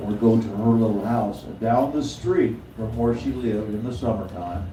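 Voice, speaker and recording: Medium-pitched male voice with an American accent and fairly even intonation, noticeable background noise and audible room echo. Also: moderate pace. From Oklahoma, US. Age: 80s+. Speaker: blues singer and harmonica player. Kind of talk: storytelling to audience. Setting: stage with audience.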